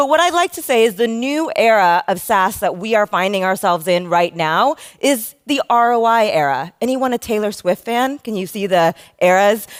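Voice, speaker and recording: With an American accent, a woman talks in an energetic tone at a fairly high pitch and a moderate pace, her pitch swinging very widely. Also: dry, close sound with no echo, very clean recording, silent background. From United States. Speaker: conference speaker, customer success consultant. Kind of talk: conference talk. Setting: stage with audience.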